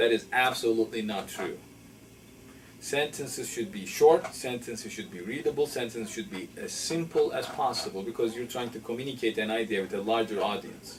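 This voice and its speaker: His loudness swinging widely, a man with a non-native accent speaks at a fairly quick pace with ordinary pitch variation. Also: medium pitch for a man. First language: not English. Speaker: professor. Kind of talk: interview. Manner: halting.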